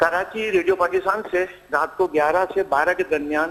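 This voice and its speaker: A man talks with ordinary pitch variation. His is an unremarkable speaking voice. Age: 60s. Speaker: caller. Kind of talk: phone-in call.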